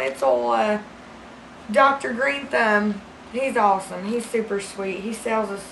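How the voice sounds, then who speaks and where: Very wide pitch swings from a woman over light background noise. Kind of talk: improvised comedic monologue. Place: home room.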